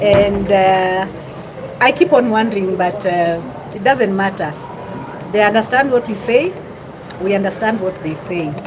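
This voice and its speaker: A woman at a medium pitch and fairly slow pace, with long, frequent pauses, ordinary pitch variation, audible room echo and noticeable background noise. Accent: Kenyan. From western Kenya. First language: Luyia. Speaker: vlogger. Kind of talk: casual live-stream chat. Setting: restaurant in Nairobi town centre. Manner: halting.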